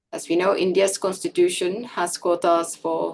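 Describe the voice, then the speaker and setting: In a Finnish accent, a woman talks at a fairly slow pace. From Finland. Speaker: democracy expert. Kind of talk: conference presentation. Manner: formal.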